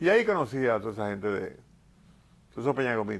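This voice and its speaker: At a very fast pace, a man talks at medium pitch with lively intonation. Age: 70s. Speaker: politician and painter. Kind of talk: TV interview.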